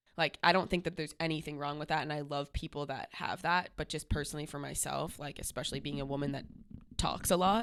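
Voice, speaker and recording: At a very fast pace, a woman talks in a very deep, low voice with fairly even intonation. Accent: American. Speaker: podcast co-host. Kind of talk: casual chat.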